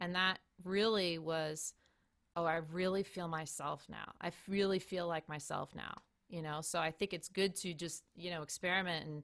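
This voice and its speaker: This woman has an ordinary speaking voice, fairly low in pitch, with fairly even intonation at a moderate pace. The recording is very clean, with a silent background. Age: 40s. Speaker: saxophonist. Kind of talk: casual chat.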